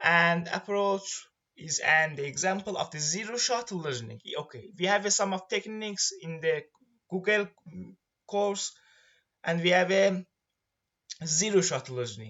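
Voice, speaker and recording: A man with an Iranian accent speaks at a high pitch and a fairly slow pace, leaving long, frequent pauses. His intonation is lively, with big swings in loudness. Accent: Iranian accent, noticeable. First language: Persian. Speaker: student presenting a course project. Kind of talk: tutorial presentation. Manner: halting, with many fillers.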